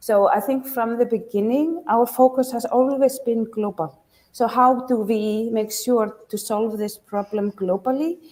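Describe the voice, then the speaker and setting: Delivered at a fairly slow pace with hardly any pauses, the speech has ordinary pitch variation and an Icelandic accent. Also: woman, fairly high pitch for a woman. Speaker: startup founder and business school professor. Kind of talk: pitch competition Q&A.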